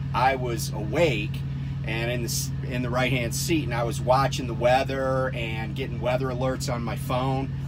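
There is loud background noise. A man is speaking. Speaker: truck driver vlogger. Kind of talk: casual vlog chat. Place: car. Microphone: phone near.

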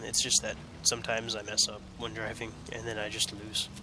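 The man talks at a fairly quick pace. The sound is dry with no echo, though noticeable background noise is present. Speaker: gaming youtuber; gaming commentator. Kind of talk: let's play commentary; casual let's play commentary. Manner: casual, halting with self-corrections. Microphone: new headset mic, picks up more than laptop; headset.

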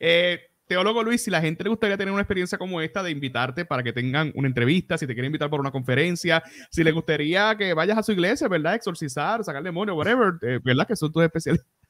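Over a quiet background, a man talks at a very fast pace and high pitch with lively intonation, in a dry sound with no echo. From Puerto Rico. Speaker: podcast host; podcast host interviewer. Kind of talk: casual interview. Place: home room. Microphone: studio mic.

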